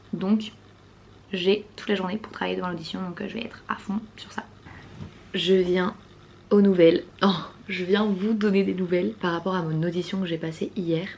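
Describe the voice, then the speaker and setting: There is noticeable background noise as a woman talks at a medium pitch with fairly even intonation. She leaves long, frequent pauses. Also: moderate pace. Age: 20s. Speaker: vlogger and performer. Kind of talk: vlog.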